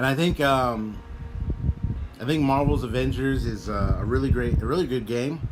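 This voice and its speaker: A man's voice with long, frequent pauses, audible room echo and noticeable background noise. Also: moderate pace. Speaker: gaming streamer. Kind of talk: casual chat. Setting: live stream.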